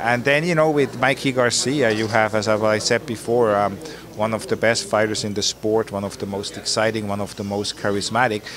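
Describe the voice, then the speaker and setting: This man talks at a fairly quick pace with a fairly low pitch and ordinary pitch variation. The sound is dry with no echo, and there is noticeable background noise. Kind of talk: interview answer. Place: gym. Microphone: handheld.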